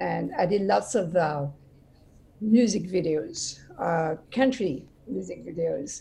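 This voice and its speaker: A woman with a French accent at a very slow pace, long, frequent pauses and noticeable background noise. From France, Brittany. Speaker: actress and TV host. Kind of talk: interview.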